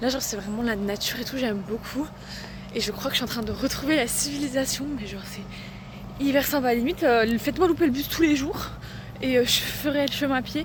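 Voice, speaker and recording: A woman with a high pitch and ordinary pitch variation speaks fairly quickly. Noticeable background noise and audible room echo fill the recording. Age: 20s. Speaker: vlogger, language student. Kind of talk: casual vlog. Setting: outdoors.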